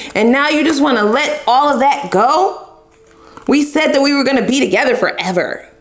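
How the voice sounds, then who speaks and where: Amid audible room echo and noticeable background noise, a woman speaks at high pitch and a moderate pace in an animated tone, her intonation lively and her loudness very even. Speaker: tarot reader. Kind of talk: tarot reading.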